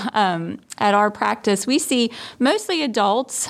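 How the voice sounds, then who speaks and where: A woman talks at a fairly slow pace with a medium pitch. Hers is an unremarkable speaking voice. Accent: American. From New Jersey. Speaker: family physician. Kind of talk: interview.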